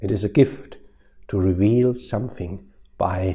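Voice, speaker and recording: A man speaks fairly slowly in a dark, mellow tone that is somewhat breathy, against a quiet background. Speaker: preacher. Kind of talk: sermon. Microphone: lapel.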